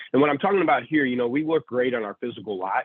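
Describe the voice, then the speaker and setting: A man's voice at a medium pitch. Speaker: automotive industry presenter. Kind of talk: presentation. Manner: fast.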